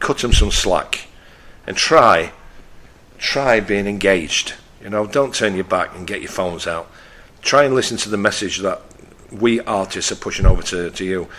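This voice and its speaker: A man with a Yorkshire accent speaks at a fairly low pitch, his loudness swinging widely and his speech broken by long, frequent pauses. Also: ordinary pitch variation, moderate pace. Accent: northern English (Yorkshire). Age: 60s. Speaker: radio host. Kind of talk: radio talk show monologue. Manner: blunt; halting.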